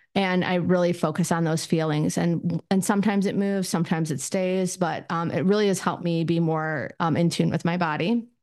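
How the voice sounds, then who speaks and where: A woman's unremarkable speaking voice, fairly low in pitch, at a fairly quick pace with fairly even intonation and very even loudness, over a quiet background. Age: 50s. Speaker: therapist podcaster. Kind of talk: solo podcast talk, casual. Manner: casual, filler-heavy, conversational.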